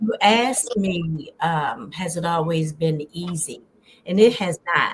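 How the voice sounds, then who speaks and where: A woman speaks very slowly in a fairly low, somewhat breathy voice with ordinary pitch variation. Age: 60s. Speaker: wellness coach. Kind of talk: interview.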